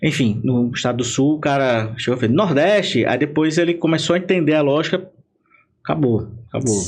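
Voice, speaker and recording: With a northeastern Brazilian accent, a man talks at a fairly quick pace in a fairly high voice, with ordinary pitch variation, very even loudness and audible room echo. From Paraíba, Brazil. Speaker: political marketing consultant. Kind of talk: podcast interview. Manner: animated.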